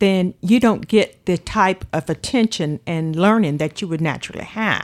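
Over music in the background, a woman with a coastal North Carolina accent speaks fairly slowly at a medium pitch, with ordinary pitch variation. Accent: coastal North Carolina Southern. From Outer Banks, North Carolina (Manteo, Roanoke Island). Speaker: retired water department supervisor, community member. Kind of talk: interview, personal memories.

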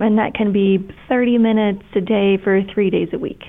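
Warm and passionate in tone yet monotone and flat in intonation, a woman with an American accent speaks at medium pitch and a moderate pace. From Kentucky, US. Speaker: breast surgeon. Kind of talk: casual interview chat, explanatory. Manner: warm, passionate.

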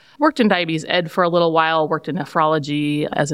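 Talking at a very fast pace with a Midwestern American accent, a woman has a very deep, low pitch and fairly even intonation. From central Iowa. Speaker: nurse practitioner. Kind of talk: interview.

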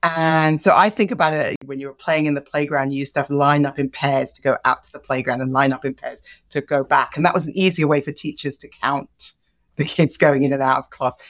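Here a woman talks in a British accent with a very deep, low pitch. Her pace is fairly quick. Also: big swings in loudness, very clean recording, silent background. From Nigeria, with English parents and English boarding school. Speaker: genetics professor. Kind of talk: interview conversation. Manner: animated.

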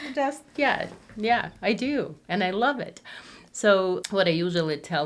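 A woman with an Eastern European accent speaks at a very slow pace. Her medium pitch moves in very wide swings. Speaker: psychiatric nurse practitioner.

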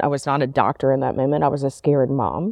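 A woman speaks with an American accent. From Memphis, Tennessee (US South). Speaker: pediatric urologist. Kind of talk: interview monologue.

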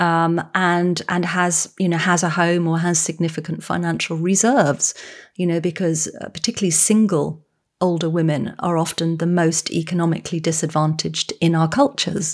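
A woman with an English accent at a fairly low pitch and a moderate pace, on a very clean recording with a silent background. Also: fairly even intonation. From England. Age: 50s. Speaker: author and psychotherapist. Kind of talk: interview.

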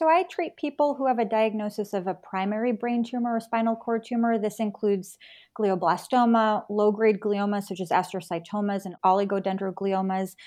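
A woman with a plain, everyday voice speaks at medium pitch with ordinary pitch variation. She moves at a fairly quick pace with hardly any pauses. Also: quiet background. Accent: American. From New York. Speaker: neuro-oncologist. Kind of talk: interview.

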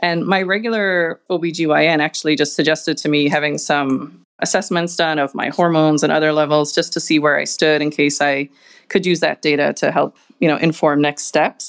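A woman with an Irish accent speaks in a very deep, low voice, her intonation fairly even. Her loudness stays very even against a quiet background. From Ireland. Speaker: breast cancer survivor and fertility patient. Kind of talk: personal testimony interview.

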